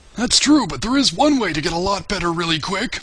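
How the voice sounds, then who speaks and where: Using a cartoonish character voice, a man talks very fast at a high pitch with very wide pitch swings. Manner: gruff, rambling, folksy.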